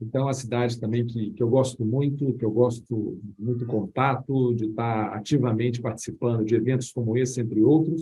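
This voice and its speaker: With a Minas Gerais accent, a man speaks at a moderate pace with hardly any pauses and fairly even intonation. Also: medium pitch for a man. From Minas Gerais, Brazil (Belo Horizonte). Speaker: HR director. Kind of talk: podcast interview.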